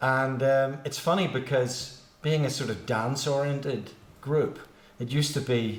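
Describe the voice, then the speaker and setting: In a Belfast accent, a man speaks at a moderate pace and a medium pitch. His intonation is fairly even, and the room echo is audible. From Northern Ireland, Belfast. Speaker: musician. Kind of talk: casual chat. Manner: halting.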